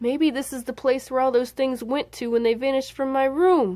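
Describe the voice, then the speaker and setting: Using a put-on character voice, a woman speaks at a high pitch and a moderate pace with fairly even intonation. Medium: read story. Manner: nervous.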